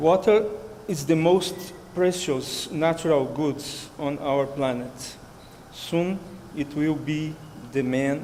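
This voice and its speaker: With a Brazilian Portuguese accent, a man talks at a very slow pace in a fairly high pitch with ordinary variation, and audible room echo surrounds him. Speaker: researcher. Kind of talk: conference talk. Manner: halting.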